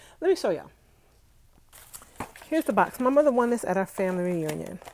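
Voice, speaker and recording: Over noticeable background noise, a speaker with an American accent talks very fast, the pitch swinging very widely. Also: woman, medium pitch for a woman. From New York, Brooklyn (Flatbush). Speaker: vlogger. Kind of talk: live stream chat. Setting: home, sitting on bed. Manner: animated.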